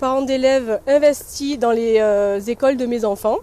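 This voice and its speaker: A woman with a high pitch and a dark, mellow tone speaks at a fairly slow pace with ordinary pitch variation. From southern France, La Ciotat. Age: 30s. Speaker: local election candidate. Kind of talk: campaign speech. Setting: outdoors. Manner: halting.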